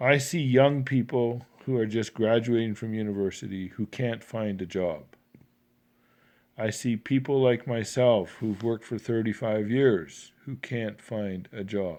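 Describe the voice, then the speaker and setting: Speaking with a western Canadian accent, a man uses a medium pitch, ordinary pitch variation and a fairly slow pace on a very clean recording with a silent background. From Canada. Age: 60s. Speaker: engineer. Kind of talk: political commentary monologue.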